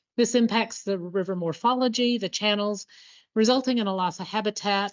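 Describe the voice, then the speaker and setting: A woman speaks with an American accent at a medium pitch. It is a plain, everyday voice with ordinary pitch variation. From Colorado, US. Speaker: environmental agency biodiversity manager. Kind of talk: conference presentation.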